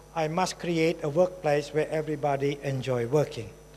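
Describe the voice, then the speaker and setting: This man has an ordinary speaking voice. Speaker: human development specialist giving a conference presentation. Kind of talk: conference presentation.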